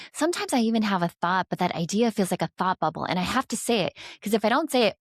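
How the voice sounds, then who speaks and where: A woman with a medium pitch speaks at a very fast pace with lively intonation, the sound dry and close with no echo. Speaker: NLP trainer and marketing expert. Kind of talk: interview conversation.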